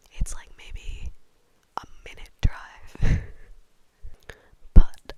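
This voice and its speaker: Someone whispers very slowly with an American accent. Noticeable background noise runs underneath. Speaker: ASMR creator. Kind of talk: ASMR whisper ramble. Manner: whispered.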